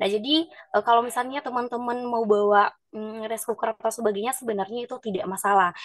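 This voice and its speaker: A woman with a fairly high pitch and ordinary pitch variation speaks over a quiet background, the sound dry with no echo. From Nias, North Sumatra. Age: 20s. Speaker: university student liaison officer. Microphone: video call.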